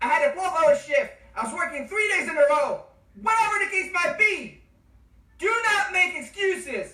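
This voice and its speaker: The speaker sounds enthusiastic and loud. The pace stays moderate. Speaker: nursing exam tutor. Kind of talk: online course lecture. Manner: loud, enthusiastic; animated.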